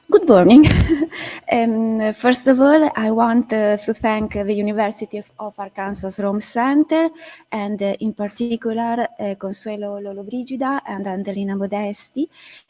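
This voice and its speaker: A woman with an Italian accent, fairly high pitch, ordinary pitch variation, big swings in loudness and a moderate pace, in a dry, close sound with no echo. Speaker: art historian. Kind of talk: conference presentation.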